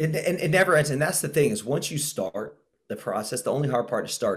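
A man speaks at a fairly high pitch, somewhat breathy, with lively intonation. The recording is very clean, the background silent. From Brazil. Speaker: fitness trainer and former pro soccer player. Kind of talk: interview.

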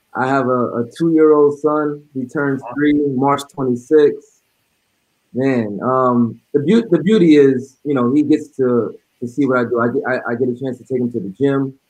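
Speaking with an American accent, a man has a fairly high pitch and ordinary pitch variation. It is an unremarkable speaking voice. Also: moderate pace. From New York City. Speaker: basketball coach. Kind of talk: casual chat.

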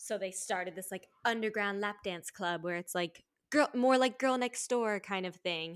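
A woman with a normal speaking voice at medium pitch, moderate pace, ordinary pitch variation and hardly any pauses, on a very clean recording with a silent background. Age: 20s. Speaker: actor, writer and sex worker. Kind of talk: casual interview chat.

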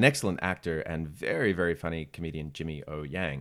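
A man speaks in an Australian accent at a moderate pace. His pitch is very deep and low, with ordinary pitch variation. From Sydney, Australia. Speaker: actor. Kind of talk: casual chat.

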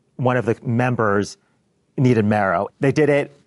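With a plain, everyday voice, a man speaks at a medium pitch with ordinary pitch variation against a quiet background. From US Pacific Northwest, Bellevue, Washington. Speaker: accountant. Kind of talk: interview. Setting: office in front of a live team.

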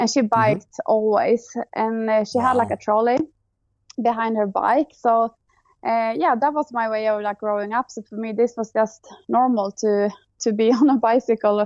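In a Swedish accent, the speaker keeps a moderate pace and fairly even intonation against a quiet background. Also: woman, fairly high pitch for a woman. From Sweden. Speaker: bike tourist. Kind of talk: interview. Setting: remote call.

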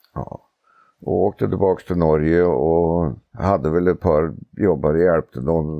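In a Norwegian accent, a man with a very deep, low pitch speaks at a fairly slow pace with fairly even intonation. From Norway, Oslo. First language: Norwegian (speaking Swedish). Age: 70s. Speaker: harness racing trainer. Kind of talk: casual interview. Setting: outdoors on a veranda.

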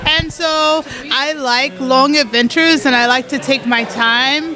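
Noticeable background noise sits behind a woman with a high pitch. Her voice is raised and projected, with ordinary pitch variation. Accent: American. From Colorado, US. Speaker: ultra-distance cyclist. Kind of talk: interview.

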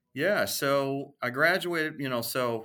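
On a very clean recording with a silent background, a man with an American accent speaks in a bright, sharp tone with lively intonation. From US Midwest, Minneapolis suburbs. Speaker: radio sales executive. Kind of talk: interview.

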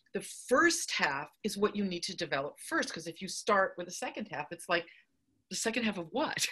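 Her tone animated, a woman talks at a fairly quick pace in a medium pitch, with very wide pitch swings. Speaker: story consultant and writing teacher. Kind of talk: interview.

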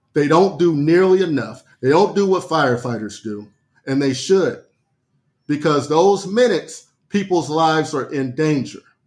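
A man's ordinary speaking voice, fairly high-pitched, with lively intonation at a moderate pace. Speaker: podcast co-host.

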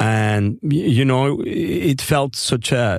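A man speaks with a Spanish accent and ordinary pitch variation. Noticeable background noise can be heard. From grew up on a ranch. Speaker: architect, podcast guest. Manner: enthusiastic, frequent tag questions like "right?" and "you know".

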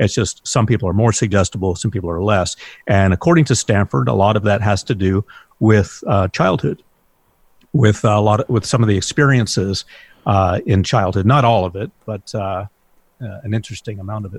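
A man with a fairly low pitch and a somewhat breathy voice talks at a fairly quick pace, the sound dry and close with no echo. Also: ordinary pitch variation. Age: 50s. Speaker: hypnotherapist. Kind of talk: interview.

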